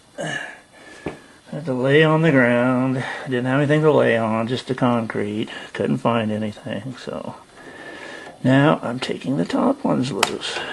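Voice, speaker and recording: The speaker moves at a fairly slow pace with ordinary pitch variation against noticeable background noise. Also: man, medium pitch for a man. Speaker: DIY mechanic. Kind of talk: tutorial. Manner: casual, thinking aloud.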